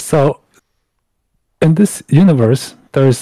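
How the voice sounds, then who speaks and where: A somewhat breathy man's voice of medium pitch with a dark, mellow tone, dry and close with no echo. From Mongolia. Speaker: guest from Mongolia. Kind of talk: podcast interview.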